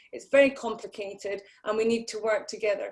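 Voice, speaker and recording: Fairly quick and with fairly even intonation, the speech comes in a British accent. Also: woman. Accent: sounds like a BBC presenter. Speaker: conference host. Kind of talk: conference welcome address. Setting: online video conference.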